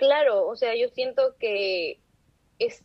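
This is a woman's voice. The pitch variation is ordinary. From Trujillo, northern Peru. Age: 20s. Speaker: university student. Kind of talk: casual interview. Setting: video call.

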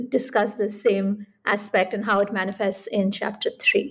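A woman at medium pitch uses a normal speaking voice, keeping a moderate pace and fairly even intonation on a very clean recording with a silent background. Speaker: podcast host and professor. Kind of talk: interview.

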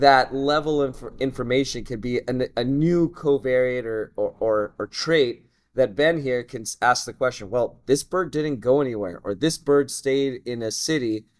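In an ordinary speaking voice, a man with an American accent talks at a fairly slow pace. His pitch is medium, with ordinary variation. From Southern California, family from Russia. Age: 30s. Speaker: geneticist, researcher. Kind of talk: casual interview. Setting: conference.

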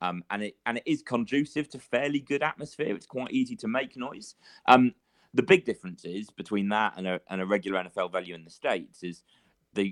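Using a British accent, a man speaks at a fairly quick pace with a fairly low pitch and lively intonation. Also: dry, close sound with no echo. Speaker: freelance sports writer. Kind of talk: casual interview. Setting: remote call from England.

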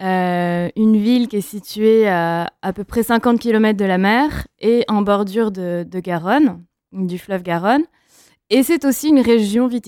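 Over a silent background in a very clean recording, a woman speaks very slowly at a medium pitch with ordinary pitch variation. Her tone is dark and mellow. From France, Médoc near Bordeaux. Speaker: wine brand representative. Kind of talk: interview.

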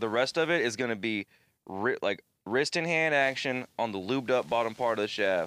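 An unremarkable speaking voice moves at a fairly quick pace with ordinary pitch variation, recorded dry and close with no echo against a very clean, silent background. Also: man. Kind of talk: casual chat. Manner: joking, rambling.

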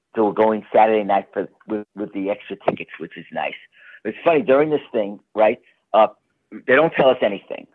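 Big swings in loudness mark a man's normal speaking voice, which has an American accent, a fairly low pitch and ordinary pitch variation. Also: fairly quick pace. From New York. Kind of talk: interview.

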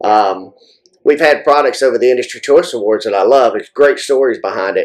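A man talks with a Southern US accent. His pace is moderate. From US South. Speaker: firearms industry manufacturer and match director. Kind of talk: casual interview.

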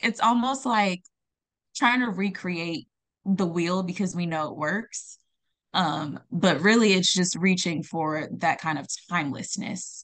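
A woman with an American accent speaks at a fairly slow pace, in a medium pitch with ordinary pitch variation. It is a plain, everyday voice over a quiet background. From Ghana, then California from age eight. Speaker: singer and artist. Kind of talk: casual interview chat.

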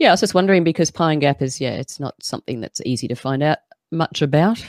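Delivered at a very fast pace with lively intonation and an Australian accent, the speech sits on a very clean recording with a silent background. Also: woman, dry, close sound with no echo. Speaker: podcast host. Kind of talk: casual chat. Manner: laughs often.

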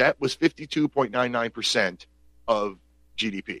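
This man speaks with an American accent and noticeable vocal fry. The sound is dry and close, with no echo. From Pennsylvania. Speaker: talk radio host. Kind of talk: call-in talk show. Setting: home studio. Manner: animated.

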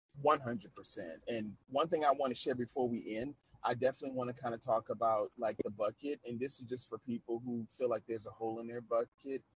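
A man speaks at a fairly quick clip in a medium pitch, somewhat breathy, with fairly even intonation and a dry, close sound with no echo. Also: big swings in loudness. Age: 30s. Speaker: podcast host. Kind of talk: casual interview chat.

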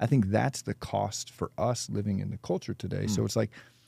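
A man's dark, mellow, fairly low voice with vocal fry and an American accent, very fast in pace, with a dry, close sound and no echo. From San Diego, California. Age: 30s. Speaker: pastor. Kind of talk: casual chat.

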